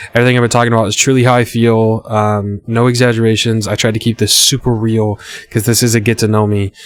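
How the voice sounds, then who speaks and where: Noticeable background noise is present. A man talks at a very fast pace and a medium pitch. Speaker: gaming YouTuber. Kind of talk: casual chat. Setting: home recording with webcam. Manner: halting.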